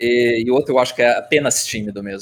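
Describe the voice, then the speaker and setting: A man speaking at a moderate pace. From Curitiba, southern Brazil. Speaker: software developer. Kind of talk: casual chat. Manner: halting, repeats words.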